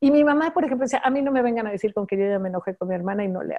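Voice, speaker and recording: Over a quiet background, a woman's dark, mellow voice moves through very wide pitch swings. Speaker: fashion designer, entrepreneur; interview guest. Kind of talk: interview. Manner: fast; animated. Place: home room. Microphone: video call.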